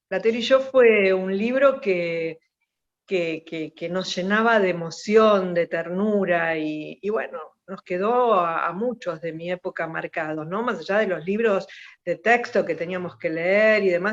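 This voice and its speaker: Speaking at a fairly slow pace, a woman uses an ordinary speaking voice with medium pitch and ordinary pitch variation. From Buenos Aires, Argentina (Mataderos). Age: 60s. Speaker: politician and journalist. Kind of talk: radio interview.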